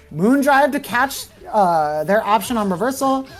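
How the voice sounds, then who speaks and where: Music plays behind a woman whose fairly high voice swings very widely in pitch. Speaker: fighting game commentator. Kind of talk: live commentary. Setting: livestream. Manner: fast; animated.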